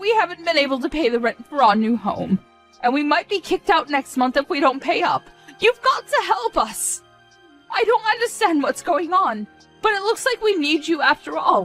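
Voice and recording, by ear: A woman's put-on character voice, high and fairly bright with big pitch swings at a moderate pace, dry and close with no echo over faint background music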